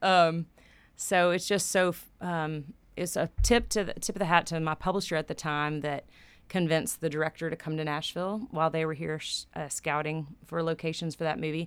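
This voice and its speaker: A plain, everyday voice from a woman, fairly low in pitch with fairly even intonation, at a moderate pace on a very clean recording with a silent background. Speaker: songwriter. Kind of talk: casual chat.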